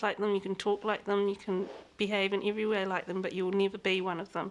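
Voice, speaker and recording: A woman with a New Zealand accent, very fast pace, medium pitch and fairly even intonation. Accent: Kiwi. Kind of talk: interview.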